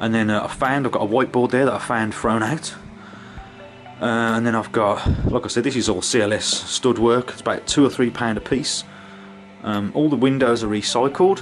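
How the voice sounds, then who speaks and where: A man's speech with ordinary pitch variation and long, frequent pauses, faint music in the background. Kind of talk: casual tutorial walkthrough. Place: workshop. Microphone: phone near.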